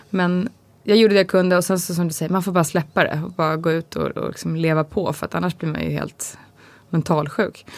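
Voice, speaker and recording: In a very clean recording with a silent background, a woman with an ordinary speaking voice talks fairly quickly at a fairly low pitch with fairly even intonation. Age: 30s. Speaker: podcast co-host, pregnant mother. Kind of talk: casual chat.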